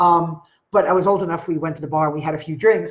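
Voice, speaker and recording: The background stays quiet. A woman talks very fast. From Long Island, New York; New York. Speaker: online marketer; storyteller vlogger. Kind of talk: live stream talk to viewers. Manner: casual, conversational. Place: home room. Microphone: webcam.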